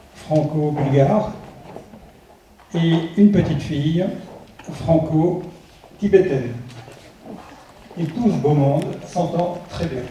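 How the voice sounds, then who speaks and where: A man's fairly high voice at a very slow pace, with ordinary pitch variation, long, frequent pauses and audible room echo. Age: 70s. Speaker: parliamentary candidate. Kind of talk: political rally speech.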